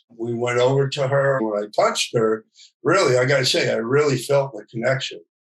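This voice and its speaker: The man's voice is medium in pitch and somewhat breathy, moving at a moderate pace. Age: 60s. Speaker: documentary filmmaker. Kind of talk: interview. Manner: halting, with repeated words and fillers.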